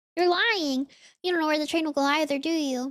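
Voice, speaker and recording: A woman puts on a squeaky character voice, high-pitched, timid and whiny, at a fairly quick pace. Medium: virtual streamer. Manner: timid, whiny.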